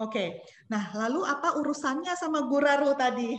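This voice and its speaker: A woman is speaking. Her intonation is lively. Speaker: company representative. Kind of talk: webinar presentation. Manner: hesitant, many fillers.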